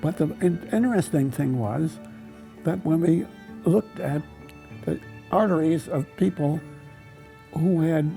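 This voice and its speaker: At a fairly slow pace, a man with a fairly high pitch speaks in a lively way as music plays in the background. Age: 80s+. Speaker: lipid researcher, professor emeritus. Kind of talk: interview answer.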